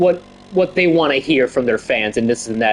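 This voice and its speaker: A man speaks over noticeable background noise. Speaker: gaming streamer. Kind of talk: casual gameplay livestream chat. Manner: halting, repetitive with fillers.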